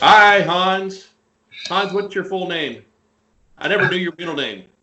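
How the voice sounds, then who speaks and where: A high-pitched man with an American accent, fairly even intonation and a fairly slow pace. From US South, Nashville, Tennessee. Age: 50s. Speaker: podcast guest. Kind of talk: casual chat.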